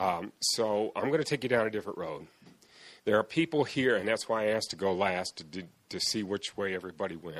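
A man with a plain, everyday voice talks at a fairly quick pace and a fairly low pitch, using lively intonation. The recording is very clean, with a silent background. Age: 50s. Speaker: foster and adoptive father. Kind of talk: testimony.

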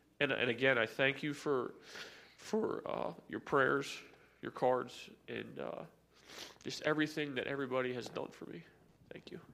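Speaking at a moderate pace, a man shows big swings in loudness and leaves long, frequent pauses. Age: 30s. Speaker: church member sharing testimony. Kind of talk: testimony. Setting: church. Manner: halting.

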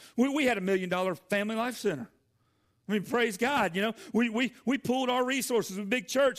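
Recorded very cleanly against a silent background, a man with a Southern US accent speaks at an extremely high pitch. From US South, Georgia. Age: 40s. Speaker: pastor. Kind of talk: sermon. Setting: church.

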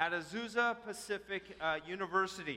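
A man's raised, projected voice, high-pitched with a bright, sharp tone. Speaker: church announcer introducing speaker. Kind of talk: church welcome and introduction. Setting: church.

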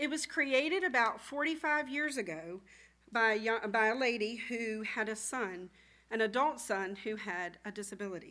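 Her bright, sharp tone sits at a fairly high pitch as this woman talks at a moderate pace with lively intonation, on a very clean recording with a silent background. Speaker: church volunteer. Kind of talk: presentation. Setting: church.

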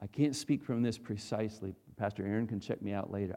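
This man has an American accent and a fairly low pitch. His tone is dark and mellow. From North Dakota, US. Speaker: pastor. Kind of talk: sermon. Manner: animated.

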